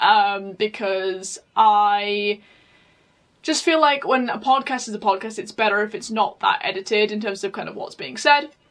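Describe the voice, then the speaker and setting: A woman with a British accent speaks at a moderate pace in a fairly high voice, her pitch varying in an ordinary way while her loudness swings widely. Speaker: podcaster. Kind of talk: casual chat. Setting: home recording. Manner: halting.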